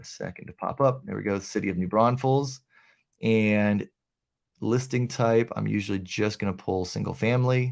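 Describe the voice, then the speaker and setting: A man speaks at a medium pitch with ordinary pitch variation, in a very clean recording with a silent background. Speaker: real estate agent and video tutor. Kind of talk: live screen-share tutorial. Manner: fast.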